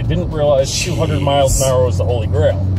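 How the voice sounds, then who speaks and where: A man at a very fast pace, with music in the background and a dry sound with no echo. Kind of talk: casual conversation. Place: car. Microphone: phone near.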